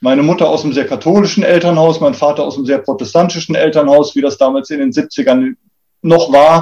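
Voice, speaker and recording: Talking at a fairly quick pace, a man has a fairly high pitch and a dark, mellow tone. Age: 40s. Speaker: public transport executive. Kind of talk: interview.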